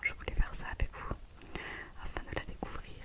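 Here a woman speaks only in a whisper. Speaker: ASMR creator. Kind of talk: ASMR whisper video, casual talk to camera. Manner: whispered, soft-spoken. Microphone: studio mic.

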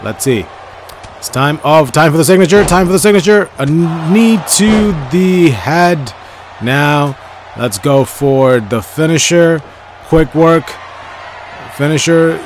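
The speaker talks very slowly with lively intonation and long, frequent pauses. Noticeable background noise runs underneath. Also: man, fairly high pitch for a man. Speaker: gaming YouTuber. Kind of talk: live play-by-play commentary over gameplay, like sports commentary. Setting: recorded video voiceover while playing a game. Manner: choppy, repeating phrases as the action unfolds.

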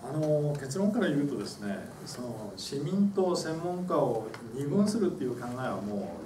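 Over noticeable background noise, a man's pitch swings very widely. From Japan. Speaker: professor and engineer, discussant. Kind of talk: panel discussion. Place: meeting room. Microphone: camera far.

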